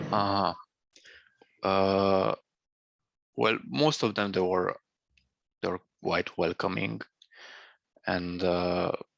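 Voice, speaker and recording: Very slow speech in a Romanian accent, with long, frequent pauses, ordinary pitch variation, and a dry, close sound with no echo. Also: man, very deep, low pitch for a man, quiet background. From Romania, Banat region (Lugoj, Timișoara). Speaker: former student living abroad. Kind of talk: interview. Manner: halting.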